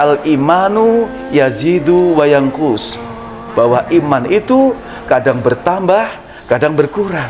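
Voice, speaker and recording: Music plays in the background as a man with a fairly high pitch talks. His pace is very slow, and his intonation is lively. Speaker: religious lecturer. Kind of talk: Islamic sermon (tausiyah) to an audience.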